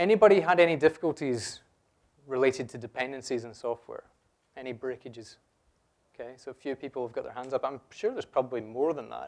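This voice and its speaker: A man with a Scottish accent at a very fast pace and medium pitch, ordinary pitch variation and big swings in loudness, on a very clean recording with a silent background. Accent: noticeable Scottish. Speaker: software developer, conference speaker. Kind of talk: conference talk. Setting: stage with audience. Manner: conversational, jokey with audience.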